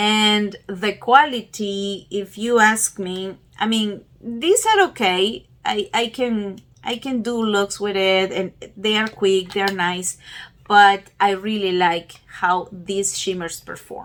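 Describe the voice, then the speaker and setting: A woman with a non-native accent speaks very slowly, at medium pitch, with fairly even intonation. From Peru. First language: not English. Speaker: beauty YouTuber. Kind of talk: casual talk to camera.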